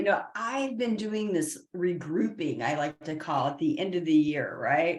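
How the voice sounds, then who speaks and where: A woman of medium pitch talks in a normal speaking voice. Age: 50s. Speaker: spiritual consultant and past life mentor. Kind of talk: interview. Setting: live stream.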